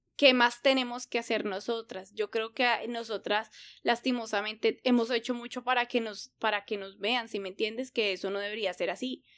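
The sound is dry and close, with no echo. A woman speaks at a moderate pace in a fairly high pitch, her intonation fairly even. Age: 30s. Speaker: podcast co-host. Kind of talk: casual chat.

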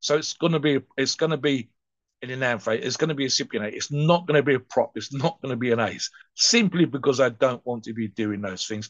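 Here a man talks at a fairly quick pace in an unremarkable speaking voice. His pitch is medium, with ordinary variation. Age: 60s. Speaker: steroid podcast co-host. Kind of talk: casual chat.

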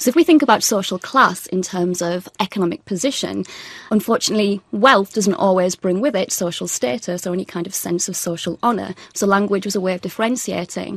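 Over noticeable background noise, a woman talks at a fairly quick pace with medium pitch and ordinary pitch variation. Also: dry, close sound with no echo. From northeast England. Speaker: university lecturer in sociolinguistics. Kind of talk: expert interview. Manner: articulate.

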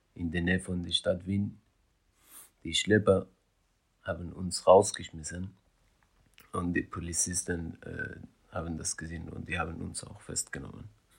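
In a very deep, low voice, a man speaks at a moderate pace, somewhat breathy, with monotone, flat intonation. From Afghan, grew up in Iran. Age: young. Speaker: hip-hop producer and filmmaker. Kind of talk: personal testimony.

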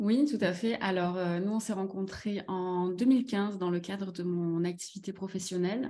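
Hardly pausing, a woman speaks at a fairly slow pace in a dark, mellow tone, medium in pitch with ordinary pitch variation. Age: 30s. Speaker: company finance and admin director. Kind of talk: casual chat.

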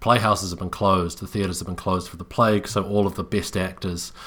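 With a New Zealand accent, a man speaks at a fairly quick pace in a very deep, low pitch, his intonation monotone and flat. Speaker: podcast co-host. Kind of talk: casual chat. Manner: halting, frequent repetitions.

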